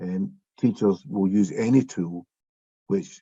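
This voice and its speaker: Dark and mellow in tone, this voice speaks with a Scottish accent and ordinary pitch variation. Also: man. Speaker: education expert. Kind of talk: panel discussion. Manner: slower than usual.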